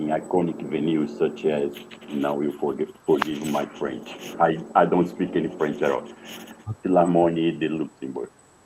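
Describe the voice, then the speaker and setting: A man's very deep, low voice at a moderate pace, fairly even in intonation, over noticeable background noise. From Brazil, Rio de Janeiro. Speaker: interviewer. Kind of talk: interview.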